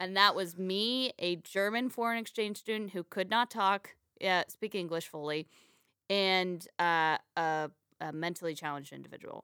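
A woman at medium pitch in a bright, sharp tone with ordinary pitch variation, in a dry, close recording with no echo, very clean with a silent background. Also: moderate pace. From Texas, later Florida. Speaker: stand-up comedian and podcast host. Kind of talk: casual chat.

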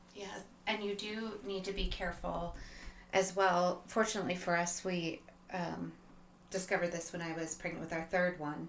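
A woman with a fairly low voice speaks at a moderate pace in a monotone, flat intonation. Noticeable background noise and audible room echo fill the recording. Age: 40s. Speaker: guest sharing marriage experience. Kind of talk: casual chat.

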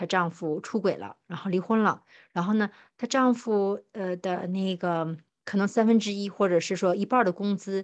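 With an unremarkable speaking voice, a woman talks at a moderate pace and medium pitch, using ordinary pitch variation against a quiet background. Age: 30s. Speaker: podcast co-host. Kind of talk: casual chat.

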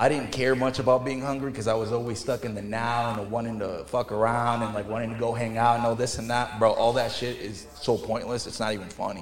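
Delivery is very fast and monotone, with flat intonation and hardly any pauses. Noticeable background noise and audible room echo fill the recording. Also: man, medium pitch for a man. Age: 30s. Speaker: bathtub refinishing business owner. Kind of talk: casual chat.

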